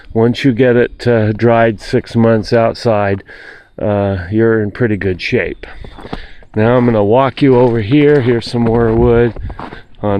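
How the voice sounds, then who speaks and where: The speech is very slow, with fairly even intonation. Noticeable background noise can be heard. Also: man. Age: 60s. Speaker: homeowner showing firewood storage. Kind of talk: casual video walkthrough. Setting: outdoors. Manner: halting, many fillers.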